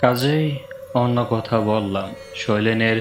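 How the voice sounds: A natural reading voice whose pitch shifts in an ordinary way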